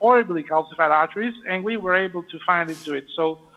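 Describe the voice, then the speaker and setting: A man's high-pitched, very fast voice with ordinary pitch variation over noticeable background noise. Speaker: vascular surgeon performing live case. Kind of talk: live procedure commentary and Q&A. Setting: live video link from operating room. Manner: hesitant, many fillers.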